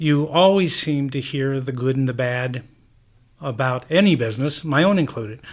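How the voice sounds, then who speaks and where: In an unremarkable speaking voice, a man with a fairly high pitch speaks at a moderate pace over a very clean recording with a silent background. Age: 60s. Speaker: car dealership owner. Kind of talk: radio interview, patient story. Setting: on location at a car dealership.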